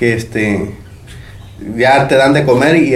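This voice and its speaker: Noticeable background noise and audible room echo surround a man speaking at a medium pitch and a fairly slow pace. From Mexico, Veracruz (Tlacotalpan). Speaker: instrument maker. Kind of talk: interview testimony. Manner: hesitant, filler-heavy.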